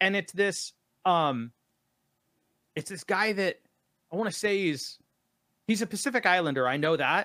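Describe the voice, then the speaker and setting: In an American accent, a bright, sharp, raised and projected voice moves at a moderate pace with lively intonation and long, frequent pauses. The recording is very clean and silent behind it, with a dry, close sound and no echo. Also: man, high pitch for a man. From Sacramento, California. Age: 30s. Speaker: musician and producer. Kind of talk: casual chat. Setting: live stream.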